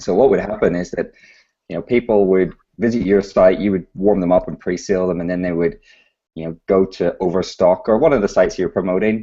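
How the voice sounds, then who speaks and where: Talking at a fairly quick pace with a British accent, a man has a very deep, low pitch, a dark, mellow tone and ordinary pitch variation. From UK. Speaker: startup founder. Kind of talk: interview.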